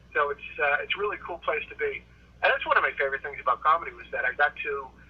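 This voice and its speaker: Over noticeable background noise, a man speaks with an American accent. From Boston area, Massachusetts. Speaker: stand-up comedian. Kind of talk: casual interview chat.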